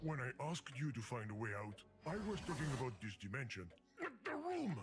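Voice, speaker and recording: Putting on a character voice with a Russian accent, a man speaks at a fairly quick pace and a medium pitch. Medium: video game. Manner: fussy, exasperated.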